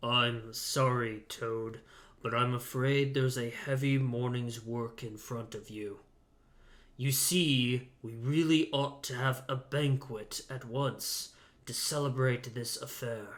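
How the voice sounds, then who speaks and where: A man's gruff, put-on character voice at a medium pitch, fairly slow in pace, with fairly even intonation. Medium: read story. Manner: blunt, gruff.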